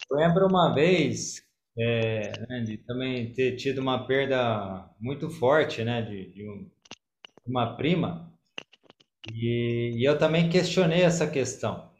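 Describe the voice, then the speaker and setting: A man at a medium pitch, somewhat breathy, at a very slow pace, with lively intonation and big swings in loudness. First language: Portuguese (speaking Korean). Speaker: church member, bakery owner. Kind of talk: testimony.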